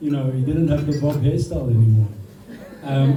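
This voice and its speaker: Amid noticeable background noise and audible room echo, a man talks at a fairly quick pace and a fairly high pitch with ordinary pitch variation. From South Africa. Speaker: friend giving a speech. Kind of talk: birthday speech. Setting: party with audience.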